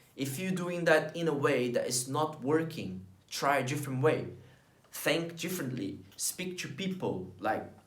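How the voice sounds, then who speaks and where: A man with a Portuguese accent speaks at a fairly slow pace, his fairly high voice full of lively intonation. Noticeable background noise and audible room echo are present. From Brazil. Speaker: vlogger. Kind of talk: motivational talk to camera.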